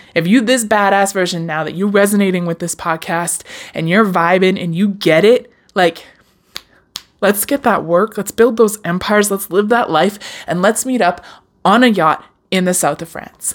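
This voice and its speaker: Her tone animated and warm, a woman talks at a moderate pace with medium pitch and ordinary pitch variation. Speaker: podcast host. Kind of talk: solo motivational podcast monologue; warm pep talk cheering listeners on. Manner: animated, warm, affirming, direct address, encouraging; casual, conversational, slightly stumbling.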